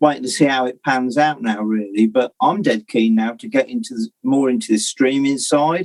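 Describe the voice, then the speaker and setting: In a Northamptonshire accent, a man at medium pitch talks at a moderate pace with lively intonation and hardly any pauses, in a dry, close sound with no echo. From Northamptonshire, England. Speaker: musician. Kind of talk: casual interview chat.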